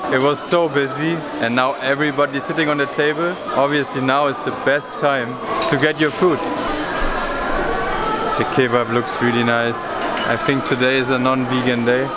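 A man speaking with long, frequent pauses over loud background noise. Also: moderate pace. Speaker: travel vlogger. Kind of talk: casual vlog chat. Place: hall. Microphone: phone near.

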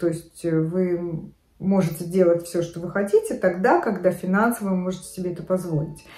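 Heard with audible room echo, a woman speaks at a moderate pace in a fairly low voice with fairly even intonation. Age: 50s. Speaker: fashion and lifestyle vlogger. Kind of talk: casual talk to camera. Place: home room. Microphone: phone near.

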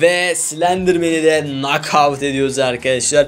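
A man talks at a fairly slow pace while faint music sounds in the background. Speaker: gaming youtuber. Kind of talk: gameplay commentary. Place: home room.

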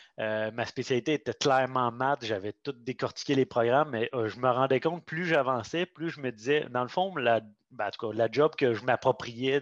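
A plain, everyday voice at a moderate pace, with ordinary pitch variation, a dry sound with no echo, and a quiet background. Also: man. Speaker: pedagogical advisor. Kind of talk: online group discussion. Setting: video call. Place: home room. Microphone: headset.

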